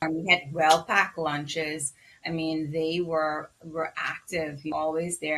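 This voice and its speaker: Very deep and low in pitch, a woman's voice has a bright, sharp tone and a fairly slow pace. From Bahamas. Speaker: physician. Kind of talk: interview.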